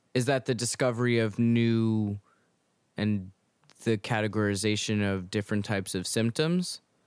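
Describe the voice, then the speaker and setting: A man talks at a moderate pace and a very even loudness. His pitch is medium, and the sound is dry and close with no echo. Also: ordinary pitch variation. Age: 20s. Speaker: podcast co-host. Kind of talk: casual chat. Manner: halting.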